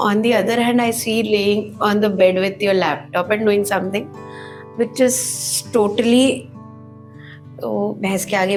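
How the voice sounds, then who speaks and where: With music in the background and audible room echo, a woman speaks at a fairly slow pace and medium pitch with ordinary pitch variation. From Northeast India. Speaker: home baker. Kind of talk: casual chat.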